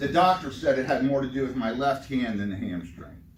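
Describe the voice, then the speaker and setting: Lively in intonation, a man speaks at a medium pitch, with audible room echo. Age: 60s. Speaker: retiring worker giving a talk. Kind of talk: informal talk to a group. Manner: casual.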